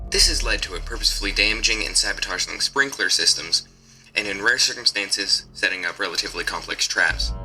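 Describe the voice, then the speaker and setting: A man talks at a very fast pace with music playing in the background. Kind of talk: horror document reading. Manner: steady, clinical.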